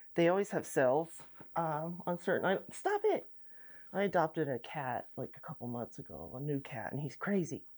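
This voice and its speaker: A woman's very deep, low voice moves at a moderate pace with ordinary pitch variation. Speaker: bead crafting youtuber. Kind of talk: casual unboxing vlog. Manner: rambling, halting.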